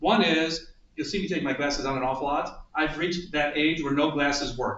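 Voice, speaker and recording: A man with an American accent talks at a fairly quick pace and a fairly high pitch. The recording has audible room echo and noticeable background noise. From US Midwest, Toledo, Ohio. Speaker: author and theater lecturer. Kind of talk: talk to a group.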